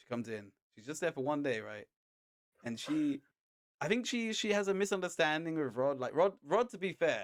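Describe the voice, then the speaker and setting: A man's high voice with a British accent, very wide pitch swings and big swings in loudness. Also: moderate pace. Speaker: podcast co-host; chef. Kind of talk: casual chat. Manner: animated.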